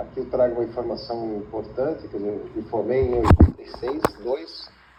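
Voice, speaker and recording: There is noticeable background noise. Over it, a man's voice can be heard. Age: 60s. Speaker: computer scientist, tech industry veteran. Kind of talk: interview. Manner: halting.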